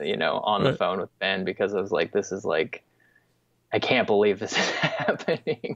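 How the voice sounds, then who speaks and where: Against a quiet background, a man talks at a moderate pace, the sound dry with no echo. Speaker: remote podcast guest. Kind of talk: interview answer. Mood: earnest, occasionally laughing. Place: home room. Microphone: earbuds.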